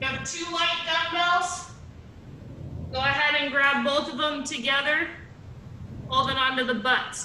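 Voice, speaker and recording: A woman's raised, projected voice, high in pitch, at a fairly slow pace with fairly even intonation, amid audible room echo and noticeable background noise. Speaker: exercise class instructor. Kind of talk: guided exercise class. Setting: video call. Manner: loud.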